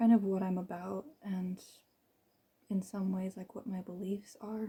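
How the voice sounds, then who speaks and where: A soft-spoken woman with a medium pitch, a dark, mellow tone and a somewhat breathy quality. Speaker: vlogger. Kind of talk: personal testimony. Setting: recording alone on camera. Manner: unscripted, hesitant.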